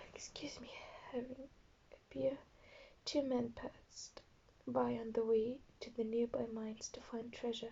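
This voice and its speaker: A woman with a non-native accent speaks at a fairly slow pace, leaving long, frequent pauses. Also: big swings in loudness. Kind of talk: story reading.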